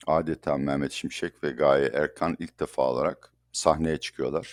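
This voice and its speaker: A man with a very deep, low voice and vocal fry speaks flatly in a monotone at a moderate pace, with a dry, close sound and no echo. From Turkey. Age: 60s. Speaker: economist. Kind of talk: interview.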